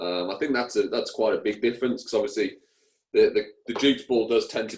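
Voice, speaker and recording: Here a man speaks with an English accent. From England. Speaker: cricketer. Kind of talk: interview. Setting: radio show. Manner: hesitant, many fillers.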